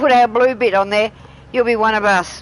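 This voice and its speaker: A woman talks with an Australian accent at a moderate pace. Her voice sits fairly high. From Australia, Tasmania. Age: 60s. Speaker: gaming streamer. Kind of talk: casual chat. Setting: live stream.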